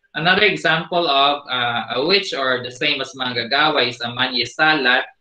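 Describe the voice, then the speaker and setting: Over a quiet background with audible room echo, a man with a fairly high pitch speaks at a moderate pace with ordinary pitch variation. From Philippines. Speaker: teacher. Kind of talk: lecture. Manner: hesitant with fillers. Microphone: video call.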